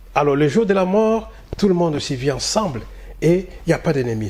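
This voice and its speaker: A somewhat breathy man with a fairly high pitch swings very widely in pitch while keeping a moderate pace. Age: 60s. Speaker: community association leader. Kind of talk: interview. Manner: halting, many hesitations.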